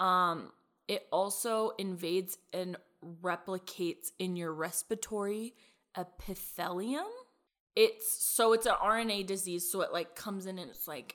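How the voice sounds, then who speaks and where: A woman with an unremarkable speaking voice talks at a fairly slow pace, using a medium pitch and ordinary pitch variation. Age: 20s. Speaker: podcast co-host. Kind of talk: casual chat. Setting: recording from quarantine at home.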